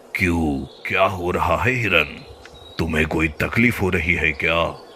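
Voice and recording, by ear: A cartoonish character voice at a moderate pace over clear background noise. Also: man, very deep, low pitch for a man.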